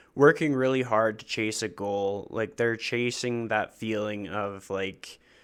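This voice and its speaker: Recorded very cleanly against a silent background, a man talks at a fairly slow pace with hardly any pauses, using an unremarkable speaking voice that is fairly low in pitch and fairly even in intonation. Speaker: podcast host. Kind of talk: interview question.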